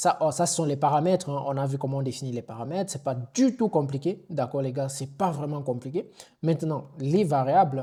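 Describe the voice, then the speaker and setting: A fairly quick, somewhat breathy man's voice of fairly high pitch, with a dark, mellow tone and ordinary pitch variation, in a very clean recording against a silent background. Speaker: online IT instructor. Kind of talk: tutorial. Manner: casual with hesitations.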